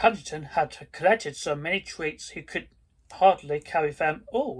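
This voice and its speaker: Fairly slow pace on a very clean recording with a silent background. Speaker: video creator who reads children's stories aloud. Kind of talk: children's story read aloud. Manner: storybook narration with character voices.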